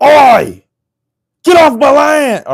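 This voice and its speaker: A high-pitched, put-on character voice shouts. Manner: gruff, shouting.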